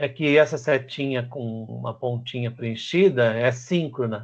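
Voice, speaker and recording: This man has a medium-pitched voice. It is somewhat breathy. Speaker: teacher. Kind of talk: lecture. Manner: fast.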